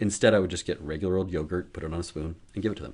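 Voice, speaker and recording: A man speaks with fairly even intonation over a quiet background. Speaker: pediatrician. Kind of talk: educational talk to camera. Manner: fast; casual, conversational.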